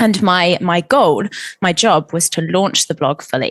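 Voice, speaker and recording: A woman's fairly low voice with an English accent and ordinary pitch variation, in a dry, close sound with no echo. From England. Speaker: marketing executive and editor. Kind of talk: interview conversation.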